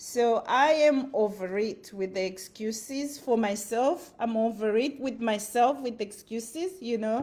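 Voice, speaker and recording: With a Zimbabwean accent, a woman speaks very slowly at a fairly high pitch with ordinary pitch variation. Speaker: motivational vlogger. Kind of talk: motivational talk. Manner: animated.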